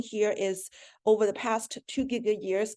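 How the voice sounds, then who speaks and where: With a quiet background, a woman speaks at a moderate pace in a fairly high pitch and a dark, mellow tone. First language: not English. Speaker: astronomer. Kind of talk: academic seminar talk.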